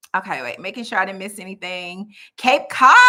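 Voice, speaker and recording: An animated woman's voice in an American accent. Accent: Southern US, stronger when relaxed. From US South, Birmingham, Alabama. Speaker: life coach and channel host. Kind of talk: live stream chat. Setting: live video stream.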